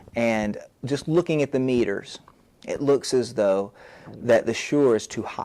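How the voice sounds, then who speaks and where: His pitch varies in an ordinary way. The man's tone is dark and mellow. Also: medium pitch for a man, fairly slow pace. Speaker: literature teacher and video blogger. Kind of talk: tech tutorial, unboxing and mic test. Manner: talking quietly to test levels; halting, many fillers and restarts.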